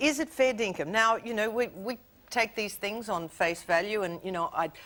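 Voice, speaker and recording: In a very clean recording with a silent background, a woman uses an ordinary speaking voice at a moderate pace with ordinary pitch variation. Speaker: TV talk show host. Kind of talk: TV talk show interview.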